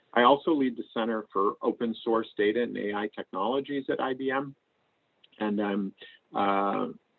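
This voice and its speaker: In an unremarkable speaking voice with an American accent, a man talks at a moderate pace and a medium pitch with ordinary pitch variation. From US Northeast (Maine). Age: 60s. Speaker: AI researcher and tech executive. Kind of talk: lecture. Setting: video call.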